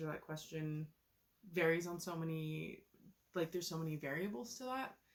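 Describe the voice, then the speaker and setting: Her voice is very deep and low in pitch, and this woman speaks with a West Coast accent. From Oregon, US Pacific Northwest. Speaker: book reviewer. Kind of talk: casual review vlog. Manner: casual, uses many fillers.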